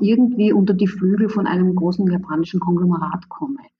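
The speaker is a woman with a medium pitch and fairly even intonation. Her voice is somewhat breathy. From Austria, Graz. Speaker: professor of international management. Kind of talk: interview.

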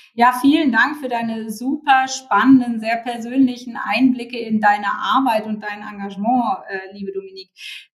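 Big swings in loudness, ordinary pitch variation, and noticeable background noise. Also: woman, fairly high pitch for a woman, moderate pace. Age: 50s. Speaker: podcast host and founder. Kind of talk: podcast interview.

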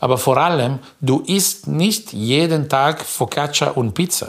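Speaking with an Italian accent, a man uses a fairly high pitch. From northern Italy, near Como. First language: Italian (speaking German). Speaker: baker. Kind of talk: casual chat.

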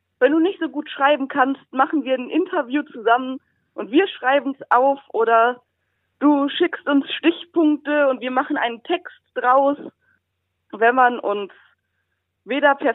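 A woman's high voice, with ordinary pitch variation, moves at a fairly slow pace. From Rhineland, Germany. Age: 20s. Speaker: blind blogger and student. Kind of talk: interview.

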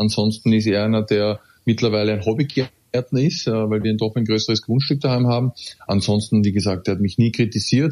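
A man's fairly low voice in an Austrian accent, fairly quick in pace, with very even loudness and fairly even intonation. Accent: Austrian German, some dialect. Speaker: professional footballer. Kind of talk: casual interview.

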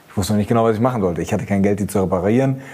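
A man's fairly low voice with ordinary pitch variation over noticeable background noise. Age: 40s. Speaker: car journalist. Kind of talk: casual chat.

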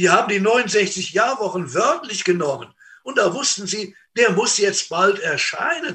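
A bright, sharp tone marks this raised, projected voice. The delivery is fairly slow. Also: man, high pitch for a man, lively intonation. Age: old. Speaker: preacher. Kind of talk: sermon.

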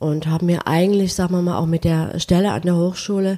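Somewhat breathy female speech with a dark, mellow tone. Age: 60s. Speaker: painter and art professor. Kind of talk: interview. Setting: at home.

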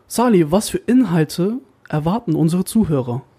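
A man speaks at a high pitch with a dark, mellow tone. His pitch moves in an ordinary way. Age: 20s. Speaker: podcast co-host, media designer. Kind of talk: casual chat.

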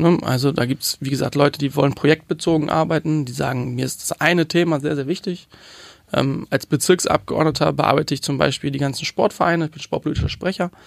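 A man talks very fast with vocal fry, his pitch fairly high and his intonation fairly even. The recording is very clean and dry, close with no echo against a silent background. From Hamburg, Germany. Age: 20s. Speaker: youth politician. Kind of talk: interview. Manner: hesitant with fillers.

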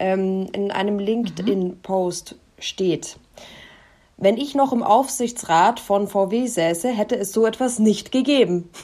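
A woman's medium-pitched voice with a dark, mellow tone and ordinary pitch variation, at a very slow pace. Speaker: podcast co-host, news presenter. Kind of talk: casual chat. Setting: on holiday abroad, remote recording.

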